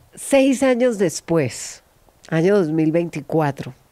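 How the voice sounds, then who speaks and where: With lively intonation, a woman speaks at a fairly low pitch in a dark, mellow tone over a quiet background. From Colombia, Caquetá (Florencia); Caquetá, Colombia. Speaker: podcast host; podcast host interviewer. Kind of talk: interview. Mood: warm, friendly, smiling. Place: studio. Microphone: studio mic.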